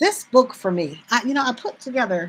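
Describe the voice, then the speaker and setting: Very wide pitch swings in a woman's somewhat breathy voice. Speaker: bookstore owner. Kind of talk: live sales stream. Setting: live stream. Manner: halting.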